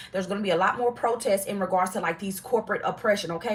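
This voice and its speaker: Her tone animated and her pitch medium, the woman speaks at a very fast pace. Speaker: tarot reader. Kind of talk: live tarot reading. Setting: livestream.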